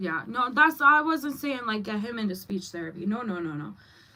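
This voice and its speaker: A woman talks. Behind her voice, music can be heard. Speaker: livestreamer and mom. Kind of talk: casual livestream chat. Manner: stumbling when excited.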